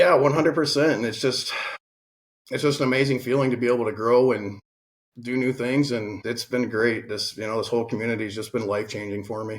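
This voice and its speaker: At a very fast pace, a man speaks with medium pitch and fairly even intonation. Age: 40s. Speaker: real estate investor. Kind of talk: interview.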